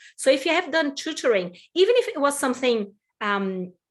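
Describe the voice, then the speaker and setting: A woman speaks with a Portuguese accent. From Brazil. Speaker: employment consultant. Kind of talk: webinar presentation.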